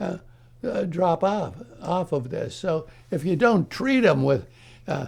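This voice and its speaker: This man's voice has a dark, mellow tone with vocal fry. His intonation is lively and his pace fairly slow. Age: 80s+; old. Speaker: psychiatrist. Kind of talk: interview answer. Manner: hesitant, halting.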